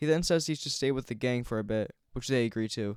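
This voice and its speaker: Mumbling at a very fast pace, a man speaks at a medium pitch with ordinary pitch variation in a very clean recording with a silent background. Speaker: gaming youtuber. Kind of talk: game commentary narration. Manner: soft-spoken.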